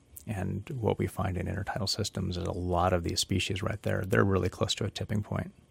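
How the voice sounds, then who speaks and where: This man's voice is very deep and low, somewhat breathy, with fairly even intonation. He barely pauses, and the recording is very clean with a silent background. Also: dry, close sound with no echo. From Southeast Alaska (Petersburg). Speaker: ecology professor. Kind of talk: casual interview conversation. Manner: frequent filler words (um, you know).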